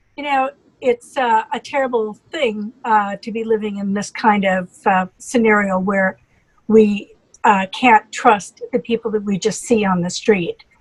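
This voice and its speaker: A woman with an American accent speaks at a fairly slow pace and fairly high pitch, somewhat breathy, with ordinary pitch variation. The sound is dry and close with no echo. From US Midwest, North Dakota. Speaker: physician. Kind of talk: interview. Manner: halting.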